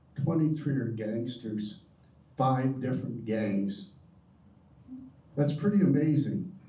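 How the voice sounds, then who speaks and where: The voice is somewhat breathy, with a dark, mellow tone and ordinary pitch variation. Audible room echo surrounds it. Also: man. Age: 70s. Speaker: retired prison volunteer. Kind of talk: audience comment.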